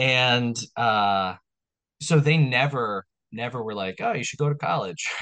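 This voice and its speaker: At a fairly slow pace, a man speaks in a plain, everyday voice at medium pitch with ordinary pitch variation. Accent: American. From New York, Long Island. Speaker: restaurant owner and podcast host. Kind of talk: casual chat.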